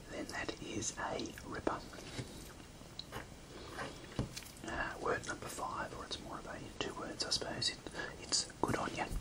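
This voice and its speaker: Someone whispers quietly with long, frequent pauses over loud background noise. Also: moderate pace. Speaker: teacher of slang words. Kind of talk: tutorial. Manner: quiet ASMR whisper, Australian accent. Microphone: phone near.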